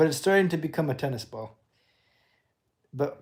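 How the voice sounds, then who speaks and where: This man has an American accent and a dark, mellow tone. His pitch variation is ordinary, and the recording is very clean with a silent background. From California, Bay Area. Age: 20s. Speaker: livestreamer. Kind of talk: casual livestream monologue.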